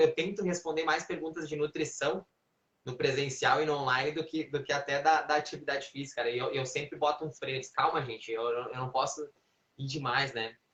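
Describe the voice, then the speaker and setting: A man at a fairly quick pace, with a fairly high pitch and ordinary pitch variation. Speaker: physical education trainer. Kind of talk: live stream Q&A. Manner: animated.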